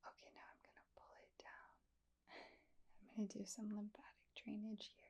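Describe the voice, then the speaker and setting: Whispering in a gentle tone, a woman lets her loudness swing widely. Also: moderate pace. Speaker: ASMR creator. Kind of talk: ASMR roleplay. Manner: soft-spoken, gentle.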